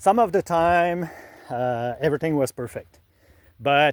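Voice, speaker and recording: A man with a Quebec accent speaks with lively intonation, the sound dry and close with no echo. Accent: Québécois French accent in English. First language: French. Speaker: illustrator and author. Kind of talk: tutorial. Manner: halting, many fillers.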